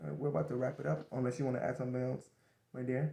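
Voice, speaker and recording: A man speaks at a very fast pace with vocal fry and a dark, mellow tone. His pitch sits at a medium level. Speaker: co-host of a parenting show. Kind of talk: casual discussion.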